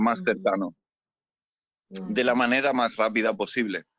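A man talks at a fairly slow pace. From Spain, Mallorca. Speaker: sailor and rescue volunteer. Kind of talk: interview. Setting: on a ship in port. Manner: halting, many repeated words.

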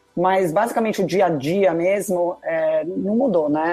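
Music plays in the background as a woman speaks. Her pitch is fairly low, with ordinary variation. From Brazil, São Paulo city. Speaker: tennis blogger, former finance worker. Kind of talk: casual interview.

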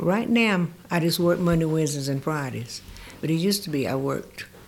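Her intonation lively, a woman with a Southern US accent speaks in a very deep, low pitch. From North Carolina, US South (rural area near Mooresville). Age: 80s. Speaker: community volunteer and retired nurse. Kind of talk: casual interview. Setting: studio.

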